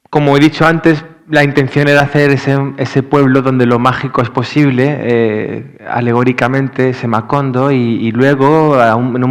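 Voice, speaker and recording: A man with a medium pitch keeps his intonation fairly even while talking at a moderate pace. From Andalusia, Spain. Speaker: novelist. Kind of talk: literary panel discussion. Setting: library event with audience and simultaneous interpretation. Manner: hesitant, many fillers.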